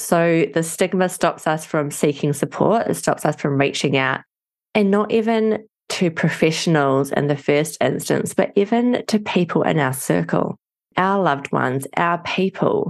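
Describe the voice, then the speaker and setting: A woman with a New Zealand accent speaks at a fairly slow pace with a fairly low pitch. Her intonation is lively while her loudness stays very even. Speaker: addiction family coach, wife of person in recovery. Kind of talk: podcast interview.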